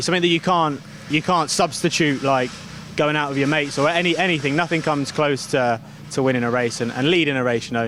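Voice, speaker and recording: A man talks fairly quickly in a fairly high voice with fairly even intonation. There is noticeable background noise. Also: very even loudness. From United Kingdom. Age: 20s. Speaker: racing driver. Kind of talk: interview answer. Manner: casual, hesitant.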